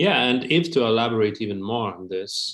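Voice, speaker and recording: A man with a Lithuanian accent talks at a fairly slow pace. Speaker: accordionist. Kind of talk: interview.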